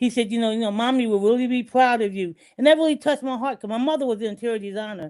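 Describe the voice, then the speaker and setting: A woman's animated tone at a very fast pace, with ordinary pitch variation and a quiet background. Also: fairly high pitch for a woman. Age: 70s. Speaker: online show host. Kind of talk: personal testimony in group chat. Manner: animated, repetitive storytelling.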